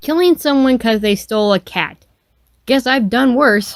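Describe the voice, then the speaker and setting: A put-on character voice with a fairly high pitch. It moves along at a moderate pace. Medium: read story. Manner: sarcastic, blunt.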